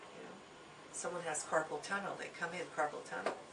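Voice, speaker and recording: A woman's voice amid noticeable background noise, with audible room echo. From Hungary. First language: Hungarian. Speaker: Chinese medicine teacher. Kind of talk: lecture. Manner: conversational with many fillers.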